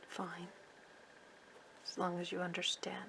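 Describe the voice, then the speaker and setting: Very slowly, a woman whispers while noticeable background noise carries on. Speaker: sewing pattern-making teacher. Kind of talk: tutorial.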